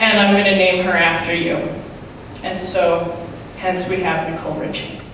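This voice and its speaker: Moderate pace amid light background noise and strong room echo. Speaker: stand-up comedian. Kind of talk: stand-up comedy set with an absurd celebrity story and acted-out sketch voices. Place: stage.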